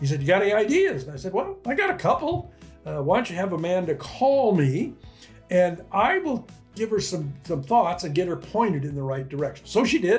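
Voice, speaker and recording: Music plays behind a man with a high pitch. He talks at a fairly quick pace with very wide pitch swings. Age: 80s+. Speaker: retired entrepreneur, online income coach. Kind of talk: casual talk to camera. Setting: coffee shop. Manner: conversational, with fillers and repeats.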